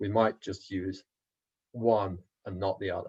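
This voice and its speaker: A man with a fairly low pitch talks in a monotone, flat way that sounds somewhat breathy. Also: quiet background. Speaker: economics lecturer. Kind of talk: lecture. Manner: halting.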